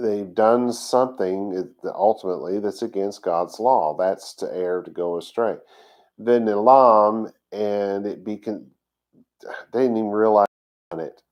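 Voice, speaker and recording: A man with a Texas accent speaks at a fairly slow pace in a fairly low voice. His intonation stays fairly even, though his loudness swings widely. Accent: Texas drawl. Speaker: congregation teacher. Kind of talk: sermon. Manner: halting.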